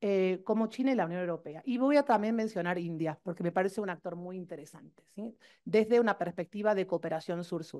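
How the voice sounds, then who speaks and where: Speaking at a fairly quick pace with hardly any pauses, a woman uses a medium pitch, ordinary pitch variation and a dark, mellow tone. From Argentina. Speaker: professor. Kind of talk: conference talk. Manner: fast.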